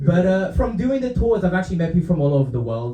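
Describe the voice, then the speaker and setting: A man talks at a very fast pace in a somewhat breathy voice with a dark, mellow tone, with audible room echo. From Romania. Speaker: stand-up comedian. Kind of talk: stand-up. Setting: stage with audience.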